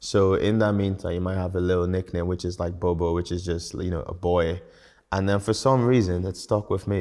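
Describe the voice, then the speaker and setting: Against a quiet background, a man with a very deep, low voice and a dark, mellow tone speaks at a fairly quick pace with monotone, flat intonation. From Belfast, Northern Ireland (born in Nigeria). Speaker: business owner. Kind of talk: interview.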